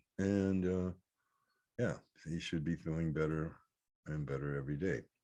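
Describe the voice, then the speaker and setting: A man's voice sits very deep and low, its tone dark and mellow. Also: ordinary pitch variation, moderate pace. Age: 60s. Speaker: reiki practitioner. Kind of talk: spiritual talk to camera. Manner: halting, many fillers.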